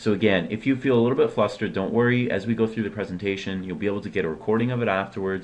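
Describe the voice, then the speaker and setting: Very fast speech from a man, fairly low in pitch with ordinary pitch variation. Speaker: SharePoint consultant and presenter. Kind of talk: webinar presentation.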